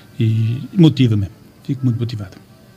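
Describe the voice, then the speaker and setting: Over music in the background, a man at medium pitch talks at a fairly quick pace with ordinary pitch variation. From Portugal, Amarante area. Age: 60s. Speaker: football club president. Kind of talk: radio interview. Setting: radio studio. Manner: halting.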